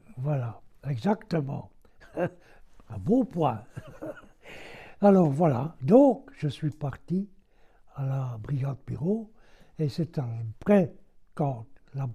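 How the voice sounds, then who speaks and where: A man speaks very slowly, with long, frequent pauses and a fairly high pitch for a man. His tone is dark and mellow, somewhat breathy, with lively intonation. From Belgium. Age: 80s+. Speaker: war veteran. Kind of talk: interview answer.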